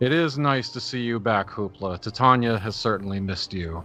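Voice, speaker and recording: A man puts on a character voice at a medium pitch, speaking at a moderate pace over faint background music. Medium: actual play. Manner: dignified, measured.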